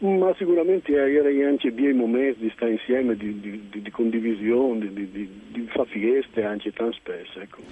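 A man's loudness swings widely and his intonation is lively. Noticeable background noise can be heard. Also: medium pitch for a man, moderate pace. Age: 60s. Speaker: novelist. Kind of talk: radio interview.

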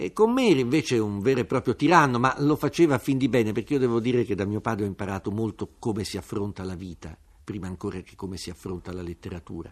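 A man talks with lively intonation at a fairly quick pace, his pitch fairly low. It is a plain, everyday voice. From Turin, northern Italy. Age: 50s. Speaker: writer and journalist. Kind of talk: radio interview.

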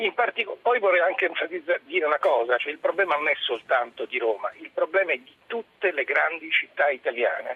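This man talks at a fairly quick pace, and his loudness swings widely. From Rome. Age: 50s. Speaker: caller. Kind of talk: radio call-in.

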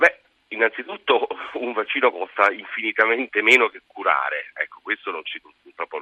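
Big swings in loudness from a man talking at a moderate speed. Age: 60s. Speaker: infectious disease specialist. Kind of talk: radio call-in Q&A.

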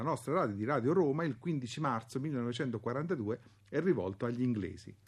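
Against a quiet background, a somewhat breathy man speaks at medium pitch with lively intonation. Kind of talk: historian's radio commentary introducing archival propaganda clips. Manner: formal, measured, didactic; gravely emphatic when denouncing the propagandists.

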